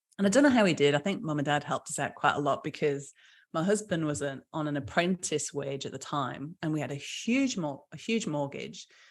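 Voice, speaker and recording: A woman's very deep, low voice with a British accent, lively intonation and a fairly quick pace, on a very clean recording with a silent background. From UK. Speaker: small business founder. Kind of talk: podcast interview.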